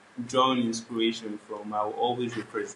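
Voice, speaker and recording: The voice belongs to a man with a medium pitch. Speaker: R&B and Afrobeats singer. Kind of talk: interview. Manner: casual, filler-heavy.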